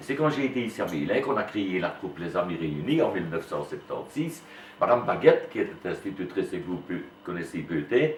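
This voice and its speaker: Room echo and noticeable background noise are audible as a man speaks fairly quickly. His pitch swings very widely. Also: medium pitch for a man. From Wallonia, Belgium (Liège area). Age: 60s. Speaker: retired school headmaster and amateur Walloon theatre actor. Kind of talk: interview. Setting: classroom. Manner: hesitant, with frequent fillers.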